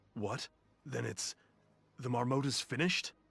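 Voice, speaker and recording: A man speaks in a put-on character voice. His pitch is medium, with ordinary variation. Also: moderate pace. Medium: video game. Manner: dry, sarcastic.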